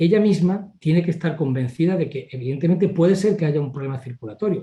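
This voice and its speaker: A man's dark, mellow, somewhat breathy voice at a very fast pace. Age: 60s. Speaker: family doctor. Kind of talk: interview.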